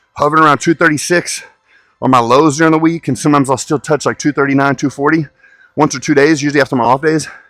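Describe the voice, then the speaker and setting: Over music in the background, a man with a fairly high pitch talks at a very fast pace in a dry, close sound with no echo. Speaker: bodybuilder and fitness coach. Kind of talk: casual vlog talk during a gym workout. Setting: gym. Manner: loud.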